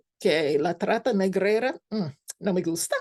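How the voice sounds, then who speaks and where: A woman with a non-native accent, heard in a dry, close sound with no echo. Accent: foreign accent in Spanish. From United States. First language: English (speaking Spanish). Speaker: scholar lecturer. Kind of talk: lecture. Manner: halting, with fillers.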